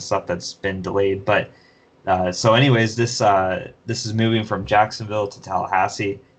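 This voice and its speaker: A man's normal speaking voice, fairly low pitch and fairly even intonation. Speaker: podcast host. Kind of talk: casual chat.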